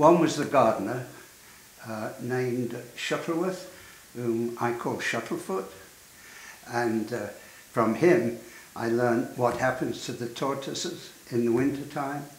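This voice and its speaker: A man's medium-pitched voice with ordinary pitch variation, a fairly slow pace and long, frequent pauses, amid noticeable background noise and audible room echo. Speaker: architect. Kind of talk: interview reminiscence. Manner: halting.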